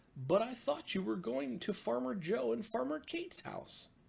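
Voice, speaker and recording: A man adopts a put-on character voice, pitched high and swinging very widely in pitch. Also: moderate pace. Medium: read story.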